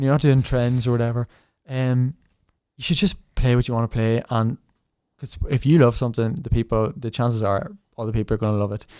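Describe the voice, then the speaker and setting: A man with a Northern Irish accent, dark and mellow in tone, medium in pitch and fairly quick in pace, in a dry, close sound with no echo. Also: ordinary pitch variation. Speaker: tin whistle player and online creator. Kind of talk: podcast interview.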